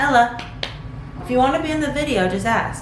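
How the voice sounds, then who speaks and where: A woman at a fairly quick pace, pitch swinging very widely, with audible room echo and noticeable background noise. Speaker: law student vlogger. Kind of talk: casual vlog to camera. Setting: at law school. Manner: whispering at times.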